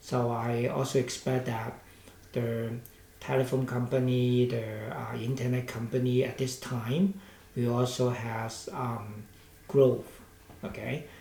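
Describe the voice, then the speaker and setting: A man speaks with a Hong Kong accent at a fairly slow pace. His intonation is monotone and flat, with audible room echo around him. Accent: Hong Kong Cantonese-accented English. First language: Cantonese. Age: 60s. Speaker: stock market commentator. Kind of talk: market analysis commentary. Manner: hesitant, with many fillers.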